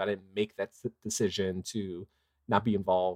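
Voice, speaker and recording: The sound is dry and close with no echo, and the talking proceeds at a moderate pace. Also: man. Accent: American. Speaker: father and activist. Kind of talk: casual interview. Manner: halting, many fillers.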